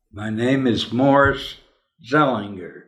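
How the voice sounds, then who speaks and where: Very slow pace from a man with fairly even intonation and audible room echo. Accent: American. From Denver, Colorado, US. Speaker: interviewee recounting family history. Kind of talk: oral history interview.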